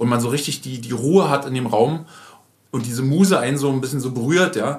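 Against noticeable background noise, a medium-pitched man talks at a fairly quick pace with ordinary pitch variation. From Berlin. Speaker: podcast host, agency owner. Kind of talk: casual chat. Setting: in guest's agency office.

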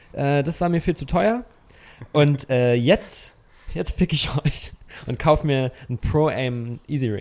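A man's fairly high voice with lively intonation. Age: 30s. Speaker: cinematographer and gimbal operator. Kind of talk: casual chat. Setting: guest's home.

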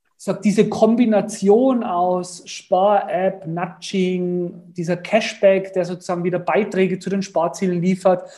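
A man talks at a fairly slow pace with a dark, mellow tone and a high pitch. His intonation stays fairly even. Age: 30s. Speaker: startup founder. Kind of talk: interview.

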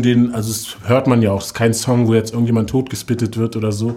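Speaking at a very fast pace, a man with a medium pitch and a dark, mellow tone keeps to a monotone, flat intonation. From Berlin, Germany (Moabit). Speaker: rapper. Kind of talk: interview.

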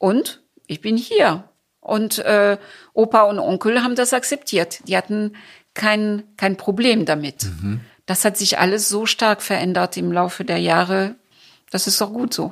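Fairly slow speech from a woman with a French accent at a medium pitch, with ordinary pitch variation, in a very clean recording with a silent background. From France. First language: French (speaking German). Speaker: cultural association founder. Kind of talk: interview.

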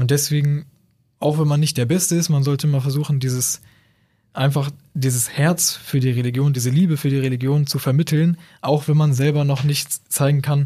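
A man's fairly high, somewhat breathy voice has a dark, mellow tone and monotone, flat intonation, moving at a moderate pace with very even loudness. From northern Germany, near Bremen. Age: 20s. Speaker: university student, convert to Islam. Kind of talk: casual interview conversation.

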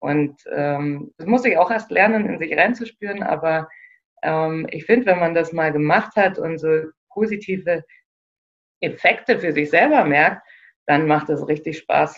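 A woman speaks at a fairly slow pace with long, frequent pauses. Her pitch is fairly low, with ordinary variation. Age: 30s. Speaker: operations manager and self-organization trainer. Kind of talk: interview. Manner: hesitant, many fillers.

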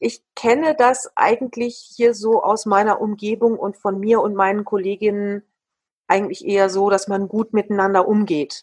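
Dry, close sound with no echo captures a woman in an ordinary speaking voice, fairly high in pitch, at a moderate pace. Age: 50s. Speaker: dance teacher and association chair. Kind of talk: interview.

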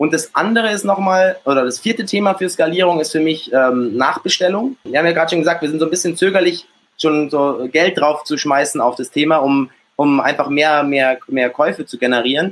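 A man's fairly high voice moves at a fairly quick pace, with ordinary pitch variation. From Germany, Munich. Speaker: entrepreneur, olive oil business founder. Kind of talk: live interview at a meetup. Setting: live meetup with audience.

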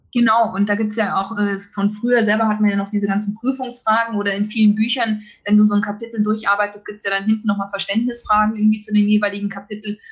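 The woman talks at a very fast pace in a fairly high pitch. Her intonation is monotone and flat, and her voice is somewhat breathy. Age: 30s. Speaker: biologist returning from parental leave. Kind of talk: interview.

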